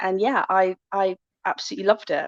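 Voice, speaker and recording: With a Bristol accent, a woman speaks at a medium pitch, the sound dry and close with no echo. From Bristol, West Country of England. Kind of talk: podcast interview.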